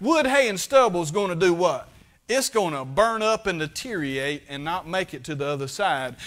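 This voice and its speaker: At a moderate pace, a man speaks with very wide pitch swings against a quiet background. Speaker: preacher. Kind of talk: sermon. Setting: church. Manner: plainspoken, fervent Baptist pulpit delivery. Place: church.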